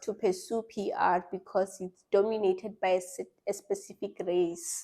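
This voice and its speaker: A woman's dark, mellow voice at medium pitch, with fairly even intonation and a fairly slow pace. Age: 20s. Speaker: content marketing specialist. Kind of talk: casual interview. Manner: mumbling.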